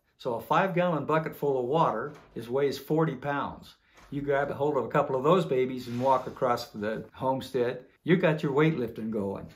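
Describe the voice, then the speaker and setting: At a moderate pace, a man talks with a fairly high pitch and ordinary pitch variation in audible room echo. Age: 70s. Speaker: homesteader and trainer. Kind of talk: casual instructional talk.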